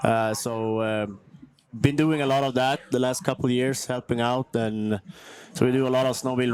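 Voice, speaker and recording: With a Swedish accent, a man speaks using fairly even intonation. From northern Sweden (Kiruna). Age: 30s. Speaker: snowmobile freestyle athlete. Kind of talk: casual interview. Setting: outdoors at event venue near concert stage.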